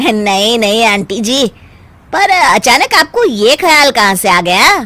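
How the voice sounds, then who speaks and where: Putting on a cartoonish character voice, a woman speaks fairly slowly at a fairly high pitch, her pitch swinging very widely while her loudness stays very even. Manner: polite, laughs easily.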